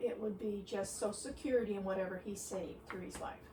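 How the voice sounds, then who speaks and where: Noticeable background noise and audible room echo surround a woman speaking at medium pitch. Her pace is fairly quick and her intonation fairly even. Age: 70s. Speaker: retiree being interviewed. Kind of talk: interview. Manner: halting.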